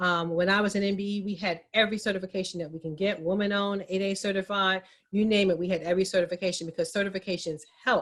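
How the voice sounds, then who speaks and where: With monotone, flat intonation, a woman at medium pitch speaks at a very fast pace. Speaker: minority business advocacy organization representative. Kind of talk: panel presentation.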